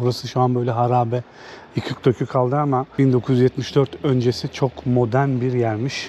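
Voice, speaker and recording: Over noticeable background noise, a man speaks at a moderate pace. His medium-pitched voice has monotone, flat intonation. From Turkey, Samsun. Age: 30s. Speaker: travel vlogger. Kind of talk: travel vlog narration. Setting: outdoors. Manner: casual.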